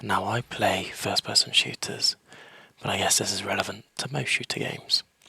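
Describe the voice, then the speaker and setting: A man whispering, the sound dry and close with no echo. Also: moderate pace. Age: 30s. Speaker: gaming YouTuber. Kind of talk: casual tutorial. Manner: half whispering.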